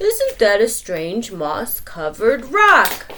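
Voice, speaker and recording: A woman's put-on character voice, fairly high in pitch and very slow, over clear background noise. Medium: read story.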